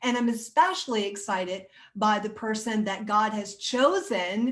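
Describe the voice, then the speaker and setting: A plain, everyday voice with fairly even intonation at a fairly slow pace. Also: woman. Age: 60s. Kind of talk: interview introduction. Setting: recording room with guests joining on video call.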